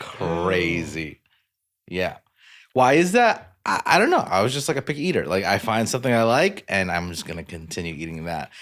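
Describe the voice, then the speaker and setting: A man with an American accent speaks at a moderate pace in a fairly low voice with very wide pitch swings, on a very clean recording with a silent background. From United States. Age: 30s. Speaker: podcast co-host. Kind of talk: casual chat.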